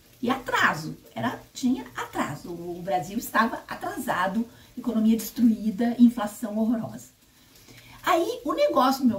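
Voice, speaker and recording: Moving at a moderate pace, a woman's voice makes very wide pitch swings over noticeable background noise. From Brazil, interior of Paraná. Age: 60s. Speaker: spiritist YouTuber. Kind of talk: personal testimony. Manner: conversational, self-correcting.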